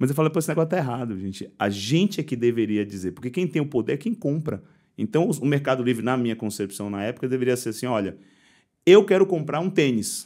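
A man's very fast, medium-pitched voice, dark and mellow, with very wide pitch swings against a quiet background. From Bahia, Brazil (Salvador). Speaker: logistics tech company founder; guest. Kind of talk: interview. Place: studio. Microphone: studio mic.

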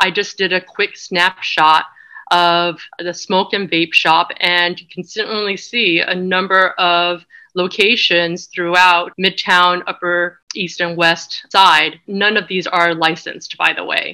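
A bright, sharp tone delivered at a very slow pace. The intonation stays monotone and flat over a quiet background. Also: woman, fairly low pitch for a woman. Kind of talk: lecture. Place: home room. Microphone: webcam.

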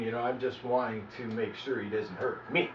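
Male speech with audible room echo and a light layer of background noise. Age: 40s. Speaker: medical marijuana activist vlogger. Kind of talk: personal video diary. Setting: at home, on camera. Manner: halting, many fillers. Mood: earnest, self-justifying. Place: home room. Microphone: camera far.

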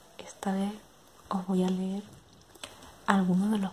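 Over light background noise, a soft-spoken woman talks at a fairly slow pace. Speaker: ASMR creator. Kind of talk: casual talk to camera. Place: home room.

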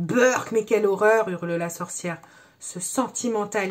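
The clip features a natural reading voice.

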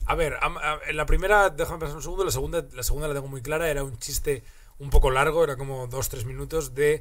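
A man's fairly high voice, very fast, with fairly even intonation. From Asturias, Spain. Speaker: comedian. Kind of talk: casual chat. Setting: studio. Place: studio. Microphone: studio mic.

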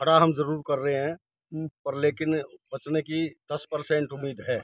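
A man talks at a fairly slow pace in a fairly high pitch, with monotone, flat intonation. The sound is dry with no echo, over a quiet background. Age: 70s. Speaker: farmer. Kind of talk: interview. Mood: worried, resigned. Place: farm.

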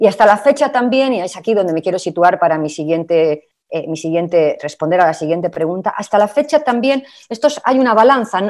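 A woman at medium pitch talks at a fairly quick pace with very wide pitch swings. Her background is quiet. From Spain. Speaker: labour and social protection expert; panelist. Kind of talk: webinar presentation. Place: home room. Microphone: video call.

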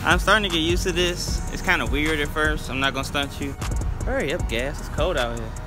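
Fairly quick speech over clear music in the background. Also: man. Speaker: vlogger. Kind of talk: casual vlog chat. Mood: relaxed, joking. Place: street. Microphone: phone near.

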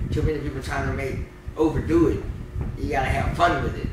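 Loud background noise and audible room echo surround a man talking at a very fast pace. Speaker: content creator and rapper. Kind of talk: casual interview. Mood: relaxed, joking, sometimes serious. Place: home room.

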